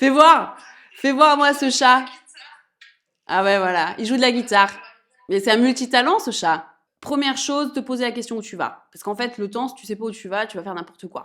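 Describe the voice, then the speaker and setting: A woman with a high pitch speaks at a moderate pace, with long, frequent pauses and big swings in loudness. Her tone is bright, sharp and animated, with lively intonation. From France, Auvergne. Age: 30s. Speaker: entrepreneur, women's empowerment program founder. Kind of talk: interview, casual chat.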